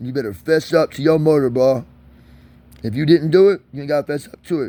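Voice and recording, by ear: A man talks at a fairly quick pace, his dark, mellow tone sitting at a fairly high pitch, with ordinary pitch variation.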